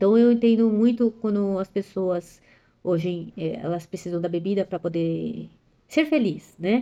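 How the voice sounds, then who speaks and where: A woman's dark, mellow tone comes with ordinary pitch variation. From São Paulo area, Brazil, to parents from Ceará. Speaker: personal development vlogger. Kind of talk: personal testimony monologue. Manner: fast, clipping words.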